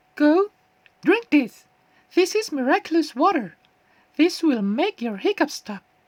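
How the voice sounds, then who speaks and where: A woman performs a squeaky put-on character voice, high-pitched with very wide pitch swings, at a moderate pace. Long pauses come often, and the sound is dry and close with no echo. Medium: read story. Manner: gentle, soothing.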